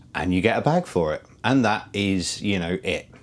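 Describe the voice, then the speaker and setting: With a British accent, the speaker moves through ordinary pitch variation. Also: man. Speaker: motorcycle vlogger. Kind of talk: product review. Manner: halting, many fillers.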